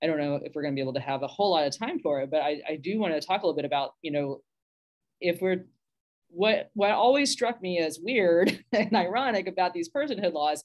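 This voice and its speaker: In a quiet background, a woman with an American accent talks at a fairly quick pace. Her pitch swings very widely. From Texas. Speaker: minister. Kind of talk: panel discussion; panel discussion remarks. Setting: video call. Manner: animated, conversational. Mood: earnest, slightly wry. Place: home room. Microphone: video call.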